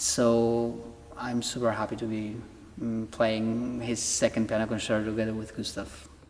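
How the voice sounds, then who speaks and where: A man with medium pitch speaks in a monotone, flat intonation. His pace is moderate, with noticeable background noise. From Poland. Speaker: orchestra conductor. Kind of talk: interview.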